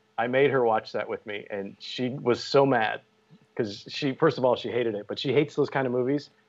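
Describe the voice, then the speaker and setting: At a fairly quick pace, a man with an unremarkable speaking voice talks with ordinary pitch variation against a quiet background. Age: 40s. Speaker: podcast host. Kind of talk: casual chat.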